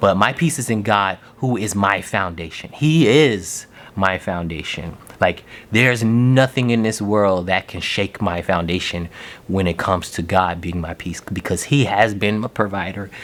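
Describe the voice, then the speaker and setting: A man's fairly low-pitched voice at a moderate pace with ordinary pitch variation. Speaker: podcast host. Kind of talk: casual monologue on faith. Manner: halting.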